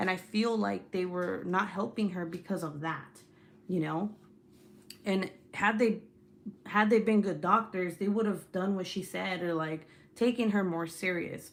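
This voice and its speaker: Animated in tone, the speaker has a slight Spanish accent and talks at a fairly slow pace with long, frequent pauses. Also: woman, medium pitch for a woman. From California. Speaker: YouTuber. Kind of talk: casual chat. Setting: live stream.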